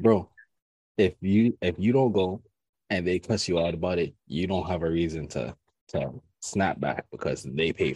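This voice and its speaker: With a dark, mellow tone and vocal fry, a man speaks at a very deep, low pitch and a moderate pace, showing ordinary pitch variation. The sound is dry and close, with no echo. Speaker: podcast host. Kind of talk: casual chat.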